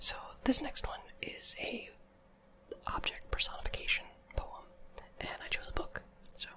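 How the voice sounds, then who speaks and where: A woman whispers at a moderate pace with long, frequent pauses. Noticeable background noise runs behind her. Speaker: ASMR creator. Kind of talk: casual talk to camera. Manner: soft-spoken.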